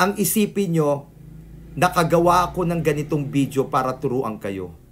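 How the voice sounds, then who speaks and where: A man speaks at a moderate pace in a fairly high, somewhat breathy voice. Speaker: feng shui consultant. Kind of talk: video tutorial and life advice. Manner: halting, stuttering.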